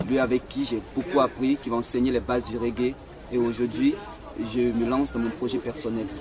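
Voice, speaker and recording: Noticeable background noise runs under the recording. A man speaks at a moderate pace with a medium pitch and fairly even intonation. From Ivory Coast. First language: Dida (speaking French). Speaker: singer-musician. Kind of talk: project presentation.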